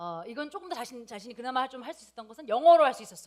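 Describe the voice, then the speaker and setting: Speaking in a slight non-native accent, a woman uses a fairly high pitch with very wide pitch swings. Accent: slight non-native Korean pronunciation. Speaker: preacher. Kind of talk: sermon. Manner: hesitant, many fillers.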